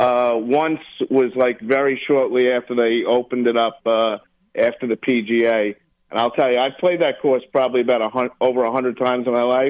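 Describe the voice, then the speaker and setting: A man with a medium pitch talks at a fairly quick pace and with fairly even intonation. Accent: New York. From New York. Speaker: college football handicapper. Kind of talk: radio interview.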